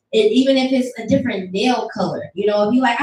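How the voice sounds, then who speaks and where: Audible room echo surrounds a woman as she talks at a very fast pace. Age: 20s. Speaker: student and speaker at live event. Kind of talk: motivational talk to audience. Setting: room with live audience. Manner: animated.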